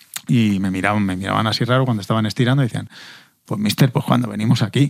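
A man's medium-pitched voice at a very fast pace. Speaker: podcast host, former footballer. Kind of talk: casual chat.

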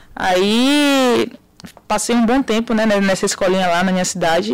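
A woman with a plain, everyday voice talks at a moderate pace with fairly even intonation. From Brazil, interior of Bahia. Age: 20s. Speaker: professional footballer. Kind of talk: interview.

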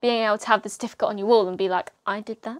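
The sound is dry and close, with no echo. The speaker has an English accent. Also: woman. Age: 20s. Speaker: podcast host. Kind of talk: solo casual monologue.

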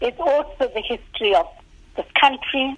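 Lively intonation from a female speaker. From South Africa, Natal (KwaZulu-Natal), Indian South African community. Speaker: academic. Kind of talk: radio interview. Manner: hesitant, with fillers.

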